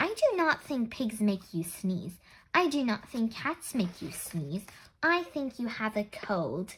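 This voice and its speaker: Putting on a character voice, a woman speaks at a fairly slow pace in a fairly high pitch that swings very widely. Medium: read story. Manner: calm, matter-of-fact.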